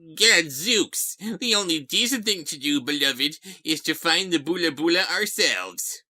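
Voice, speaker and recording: A put-on character voice at middle pitch moves at a moderate pace in a very clean recording with a silent background. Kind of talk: old-fashioned, exclaiming. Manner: cartoonish, exaggerated.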